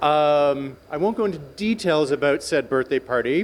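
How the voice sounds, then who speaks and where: Ordinary pitch variation from a man with a fairly high pitch, at a moderate pace. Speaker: friend giving birthday speech. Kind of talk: birthday speech. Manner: spontaneous, unscripted.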